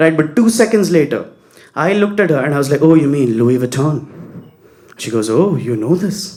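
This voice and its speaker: Speaking in a South Indian accent, a man with a fairly high voice talks at a fairly quick pace with lively intonation and long, frequent pauses. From Bangalore, India. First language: Kannada. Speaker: stand-up comedian. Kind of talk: stand-up.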